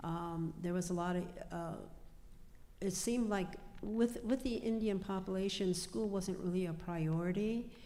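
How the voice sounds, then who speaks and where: With an American accent and a medium pitch, a woman talks at a moderate pace, with audible room echo around her voice. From US Midwest, Pine Ridge, South Dakota. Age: 70s. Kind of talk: panel discussion. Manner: halting, many fillers.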